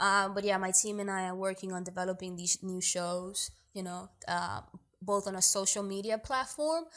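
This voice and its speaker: In a New York accent, a woman talks at a moderate pace with an animated tone. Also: medium pitch for a woman, ordinary pitch variation, very clean recording, silent background. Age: 20s. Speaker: actor and producer. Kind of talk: interview.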